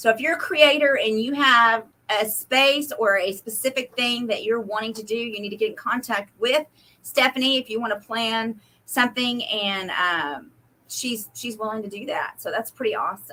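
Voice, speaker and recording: The voice has a bright, sharp tone, ordinary pitch variation and an American accent. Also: woman, fairly high pitch for a woman. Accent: Oklahoma and Texas. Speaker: craft booth vendor and co-host. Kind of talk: live stream chat. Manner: fast.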